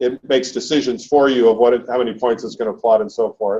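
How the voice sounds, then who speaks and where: An unremarkable speaking voice moves at a fairly quick pace. The intonation is fairly even. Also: man. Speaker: seminar instructor. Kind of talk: lecture.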